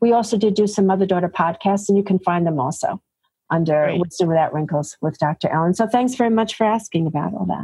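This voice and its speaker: A woman talks very fast in a New York accent, her voice medium in pitch, somewhat breathy, with a dark, mellow tone. Her loudness stays very even, and her pitch varies in an ordinary way. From New York City (Bronx, Queens). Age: 60s. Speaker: physician. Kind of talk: interview.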